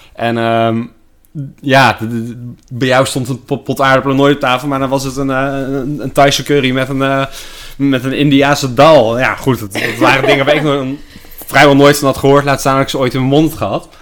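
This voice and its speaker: Through noticeable background noise, a man speaks at a moderate pace with monotone, flat intonation. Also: medium pitch for a man. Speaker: sales employee, host's partner. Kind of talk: casual chat. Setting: at home in quarantine. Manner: halting, many repetitions and fillers.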